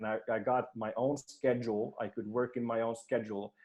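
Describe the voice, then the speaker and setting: Against a quiet background, a man talks at a fairly quick pace. He has a medium pitch and a Swedish accent. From Finland, Swedish-speaking. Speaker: performance coach. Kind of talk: podcast interview.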